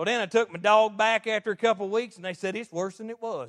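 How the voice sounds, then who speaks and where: Animated in tone, a high-pitched man talks very fast, the sound dry and close with no echo. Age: 40s. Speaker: lay preacher. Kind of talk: sermon. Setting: church.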